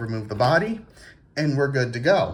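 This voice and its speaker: There is a somewhat breathy quality to this man's medium-pitched voice. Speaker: RC car hobbyist YouTuber. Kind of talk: casual tutorial. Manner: stammering repeats.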